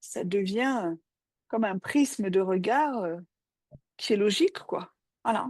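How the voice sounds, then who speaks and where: Pausing long and often, a woman talks at a very slow pace and a medium pitch with lively intonation, the sound dry and close with no echo. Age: 60s. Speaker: psychoanalyst. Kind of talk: casual chat. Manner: halting.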